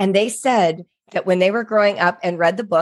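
A woman's normal speaking voice at a medium pitch and moderate pace. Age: 60s. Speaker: author and education writer. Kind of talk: interview.

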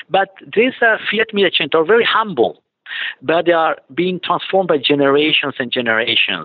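In an Italian accent, a man with a high pitch speaks with lively intonation and very even loudness. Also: moderate pace. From Italy. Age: 50s. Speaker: automotive business development executive. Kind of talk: interview. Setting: remote call from client site. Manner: halting.

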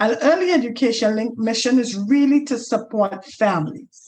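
A woman's somewhat breathy voice sits fairly high in pitch, with lively intonation and a fairly slow pace. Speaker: Toastmasters member and early education organizer. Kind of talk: interview.

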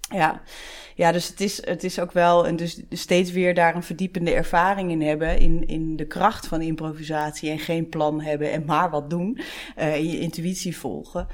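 Noticeable background noise sits under a woman with fairly low pitch. She talks at a moderate pace with fairly even intonation. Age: 40s. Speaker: podcast host, HR professional. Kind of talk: interview conversation.

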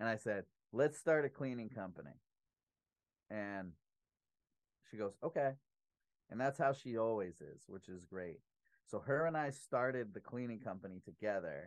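Pausing often and at length, a man with a medium pitch speaks at a moderate pace, with lively intonation and big swings in loudness. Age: 30s. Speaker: business owner and public speaker. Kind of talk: casual interview chat. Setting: home podcast studio.

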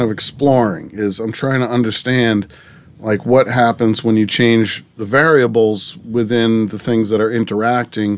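In an American accent, a man with a normal speaking voice talks fairly slowly at a medium pitch, using ordinary pitch variation. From Massachusetts, Plymouth area. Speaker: abstract artist. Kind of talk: interview. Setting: in-person recording.

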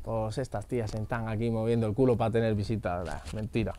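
This man's voice has a dark, mellow tone at a medium pitch. He keeps a moderate pace. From Madrid, Spain. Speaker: singer. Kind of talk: casual chat.

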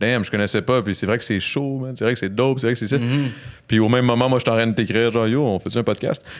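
Heard on a very clean recording with a silent background, a man talks very fast at a medium pitch. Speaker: podcast host. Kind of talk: casual chat. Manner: animated.

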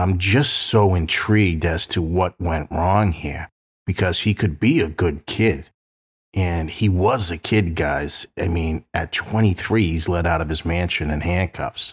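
Very deep and low, a man's somewhat breathy voice moves at a fairly slow pace. The recording is very clean, with a silent background. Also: ordinary pitch variation. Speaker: true crime podcast host and private investigator. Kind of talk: casual storytelling podcast narration. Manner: conversational, friendly.

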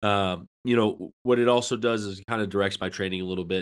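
A man talks at a very fast pace with a fairly low pitch and fairly even intonation. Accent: American. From upstate New York. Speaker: college strength coach. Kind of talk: casual chat.

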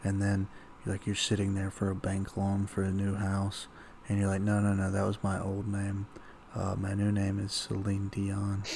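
The speaker is a man, whispering. He keeps a moderate pace. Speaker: podcast co-host. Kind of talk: casual chat.

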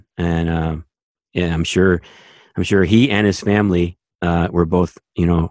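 Fairly even intonation in a Canadian accent, set against a quiet background. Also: man. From Canada. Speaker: sports TV director and podcast co-host. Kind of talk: casual chat.

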